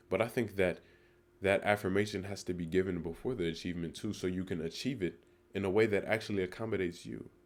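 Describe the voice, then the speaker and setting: A man with a very deep, low pitch, ordinary pitch variation and a very fast pace. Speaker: motivational vlogger. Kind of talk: spoken monologue on self-growth. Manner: reflective, with fillers and self-corrections.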